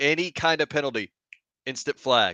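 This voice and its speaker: Loud and bright with a sharp tone, a man's voice comes through dry and close with no echo. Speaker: football podcast co-host. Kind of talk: casual chat. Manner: animated.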